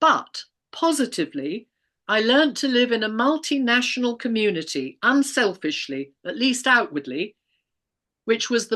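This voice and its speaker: Bright and sharp with vocal fry, a woman's fairly high voice swings very widely in pitch at a moderate pace. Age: 70s. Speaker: retired teacher. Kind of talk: interview testimony. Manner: measured, formal.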